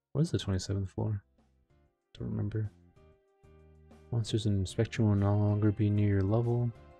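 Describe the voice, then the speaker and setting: The speech mumbles along at a fairly quick pace, broken by long, frequent pauses, with fairly even intonation. Music plays in the background. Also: man, fairly low pitch for a man. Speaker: game streamer. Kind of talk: casual patch notes commentary. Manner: mumbling.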